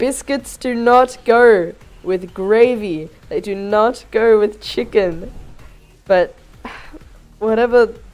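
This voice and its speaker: Music plays in the background as a woman speaks very slowly. Her fairly high pitch varies in an ordinary way, broken by long, frequent pauses. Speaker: gaming streamer. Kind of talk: casual livestream chat. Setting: livestream.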